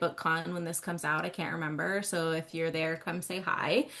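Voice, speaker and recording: Her tone is bright and sharp, with a fairly low pitch. The woman keeps a moderate pace. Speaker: author and book fair organizer. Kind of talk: casual podcast chat. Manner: animated.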